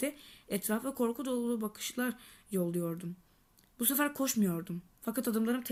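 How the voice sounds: The speaker uses a natural reading voice.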